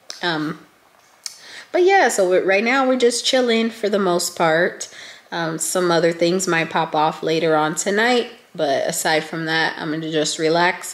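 A woman speaks at a fairly slow pace in a raspy, fairly low voice. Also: ordinary pitch variation.

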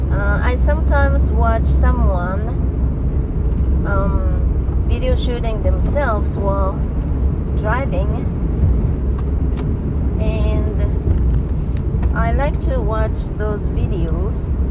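Amid loud background noise, a woman speaks very slowly with long, frequent pauses, in a dry sound with no echo. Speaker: vlogger. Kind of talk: casual vlog chat. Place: car. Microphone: phone near.

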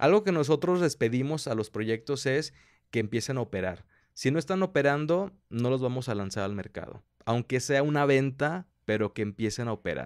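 Over a quiet background, a man speaks at a moderate pace with lively intonation and a medium pitch. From Mexico. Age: 20s. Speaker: entrepreneur, business incubator director; interview guest. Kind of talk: interview. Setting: coworking space. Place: studio. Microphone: studio mic.

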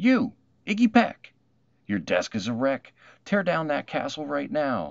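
Putting on a character voice with vocal fry, a man speaks at medium pitch and a fairly slow pace, making very wide pitch swings.

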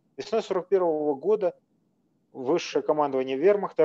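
A man's voice with a dark, mellow tone and ordinary pitch variation. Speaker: historian. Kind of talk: lecture. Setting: video call. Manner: formal. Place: home room. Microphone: webcam.

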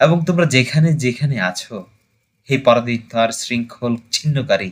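With lively intonation, a man speaks at a medium pitch in an unremarkable speaking voice. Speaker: amateur poetry reciter. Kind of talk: poetry reading.

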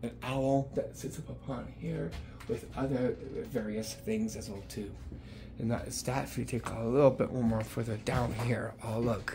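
Moderate-paced male speech amid noticeable background noise. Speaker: venue reviewer. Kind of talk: casual vlog chat. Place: bar. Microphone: phone near.

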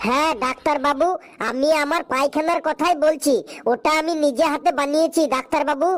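A cartoonish character voice at a high pitch. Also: moderate pace.

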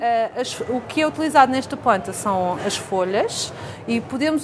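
Against noticeable background noise, a woman speaks at a moderate pace in a high voice. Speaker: guest. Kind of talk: tutorial. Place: studio.

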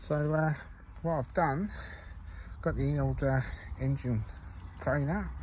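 There is noticeable background noise as a man speaks in a dry sound with no echo. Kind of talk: casual tutorial commentary. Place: garden. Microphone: phone near.

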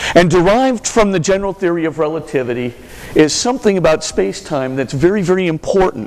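Over noticeable background noise, a man talks at a very fast pace. His voice is high, with lively intonation. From Hawaii, US (Honolulu). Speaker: Jesuit priest and university lecturer. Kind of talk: lecture.

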